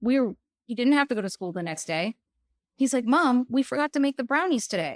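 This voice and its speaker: A woman talks loudly at a fairly quick pace with a high pitch and very wide pitch swings, the sound dry and close with no echo. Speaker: podcast guest, parent. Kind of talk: casual chat. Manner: animated.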